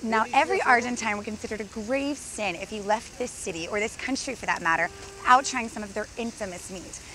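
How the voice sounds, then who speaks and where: A woman with an American accent, upbeat and animated, at a very fast pace and fairly high pitch with ordinary pitch variation and big swings in loudness, in a dry sound with no echo over light background noise. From Texas. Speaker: travel TV host. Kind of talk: on-camera travel presenting. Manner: upbeat, animated. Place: street.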